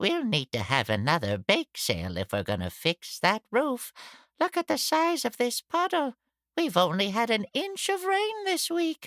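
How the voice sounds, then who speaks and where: A put-on character voice with fairly high pitch delivers lines at a moderate pace in a very clean recording with a silent background. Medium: read story. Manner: plain, practical.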